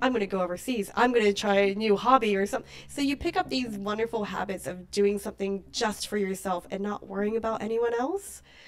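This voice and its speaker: A woman with an American accent talks at a fairly quick pace with hardly any pauses, using a medium pitch and ordinary pitch variation against noticeable background noise. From New Zealand, raised partly in the US. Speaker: tour manager. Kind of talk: podcast interview.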